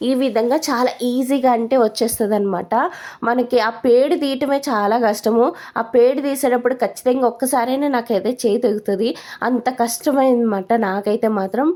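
A woman speaks at a high pitch with fairly even intonation. Her tone is dark and mellow. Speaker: lifestyle vlogger, homemaker. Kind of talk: vlog voice-over narration. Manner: halting, stumbling.

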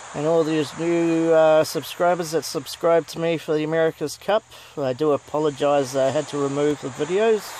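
Moderate pace in a New Zealand accent. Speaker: gaming YouTuber. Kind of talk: gameplay commentary. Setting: home recording, gameplay. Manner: animated, exclamatory.

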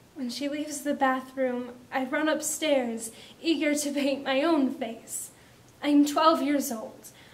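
A woman speaks in a dramatic tone at a high pitch and a very slow pace. Her intonation stays monotone and flat. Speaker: spoken word poet. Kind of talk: spoken word poem, performed reading of a personal poem about makeup and self-image. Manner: measured, expressive poetic delivery with dramatic pauses, building emotion; reflective, earnest, confessional. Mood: emotional, intense, dramatic. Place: studio.

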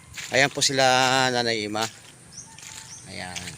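A man speaks at a fairly slow pace in a fairly low pitch, with noticeable background noise behind him. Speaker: farmer and vlogger. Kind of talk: casual vlog narration. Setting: outdoors in a rice field.

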